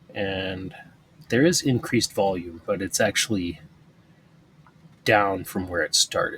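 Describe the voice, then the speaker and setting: A man speaks fairly slowly with lively intonation while noticeable background noise runs underneath. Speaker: stock trading video creator. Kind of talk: screen-share trading commentary. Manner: mumbling, thinking out loud; casual, halting.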